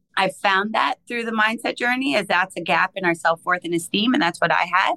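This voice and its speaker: An ordinary speaking voice moves at a fairly quick pace with lively intonation and a dry, close sound with no echo. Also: woman. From Canada. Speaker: life coach and consultant. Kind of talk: interview.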